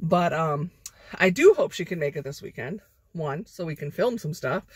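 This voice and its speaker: A woman with a fairly low pitch and a somewhat breathy voice speaks at a moderate pace, recorded in a dry sound with no echo and a quiet background. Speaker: vlogger. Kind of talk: casual vlog chat. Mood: cheerful and chatty. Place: car. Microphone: phone near.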